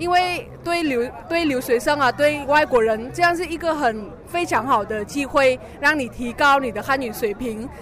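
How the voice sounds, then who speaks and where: A woman speaks at a high pitch and a moderate pace, with ordinary pitch variation. Noticeable background noise runs underneath. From Vietnam, Hanoi. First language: Vietnamese (speaking Chinese). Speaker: international student. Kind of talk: interview at exhibition booth. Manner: halting.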